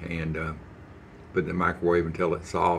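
A man speaks in a very deep, low pitch over light background noise. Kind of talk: casual cooking tutorial chat. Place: kitchen. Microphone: phone near.

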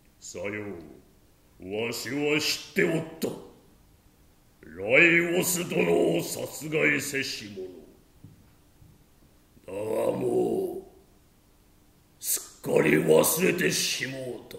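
Speaking at a very slow pace, a man with a medium pitch swings widely in loudness, with a slight echo on the recording. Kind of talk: stage tragedy, archaic elder speech. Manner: weary, anguished, then accusing.

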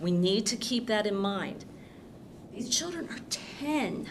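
A woman speaks with audible room echo. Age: 60s. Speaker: public commenter at school board meeting. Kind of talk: public comment at board meeting.

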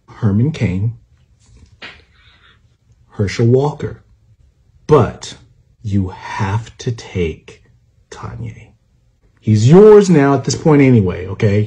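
Against a quiet background, a man with a dark, mellow tone and a somewhat breathy voice uses lively intonation at a very slow pace, with long, frequent pauses. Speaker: social media creator. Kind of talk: comedic monologue. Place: home room. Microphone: phone near.

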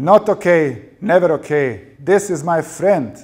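A man puts on a character voice at a fairly high pitch, speaking slowly with lively intonation, a slightly mellow tone and a slightly husky edge.

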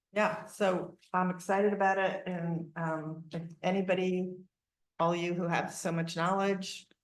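Her pitch is medium for a woman, and the delivery is monotone and flat at a fairly slow pace. Audible room echo surrounds her voice. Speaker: city council member. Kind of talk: public meeting remarks. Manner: loud; hesitant with fillers.

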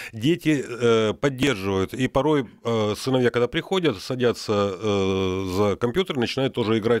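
Against a quiet background, a man speaks at a moderate pace with lively intonation and hardly any pauses. The sound is dry, with no echo. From Luhansk region, eastern Ukraine. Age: 60s. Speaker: retired military psychiatrist; radio guest. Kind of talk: radio interview. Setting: radio studio. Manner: hesitant, many filler sounds. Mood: animated, friendly. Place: studio. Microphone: studio mic.

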